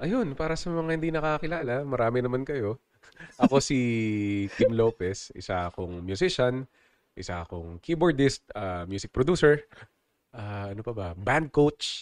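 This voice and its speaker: With very wide pitch swings and big changes in loudness, a man speaks over a quiet background in a dry, close sound with no echo. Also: medium pitch for a man, moderate pace. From Philippines, Nasugbu, Batangas. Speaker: keyboardist and music producer. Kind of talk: interview conversation.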